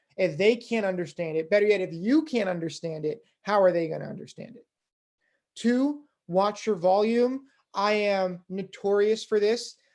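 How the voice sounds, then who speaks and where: At a moderate pace, a woman in an ordinary speaking voice talks with medium pitch, ordinary pitch variation, and big swings in loudness. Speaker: fundraising instructor. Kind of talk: recorded workshop lecture.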